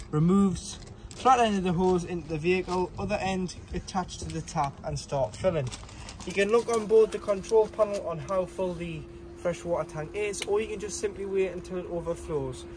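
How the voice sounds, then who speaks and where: A man at a fairly quick pace against light background noise. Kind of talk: tutorial. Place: street. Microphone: phone near.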